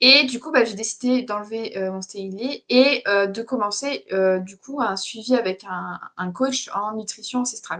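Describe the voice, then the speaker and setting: At a fairly slow pace and with hardly any pauses, a woman talks in a fairly high pitch, her loudness swinging widely and her pitch varying in an ordinary way. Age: 20s. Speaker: interview guest. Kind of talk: casual chat. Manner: halting.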